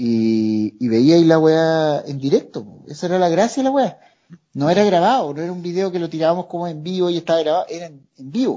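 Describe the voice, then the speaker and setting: Speaking with a Chilean accent at a fairly quick pace, a man has high pitch, very wide pitch swings and big swings in loudness. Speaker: comedy video creator. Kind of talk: casual chat.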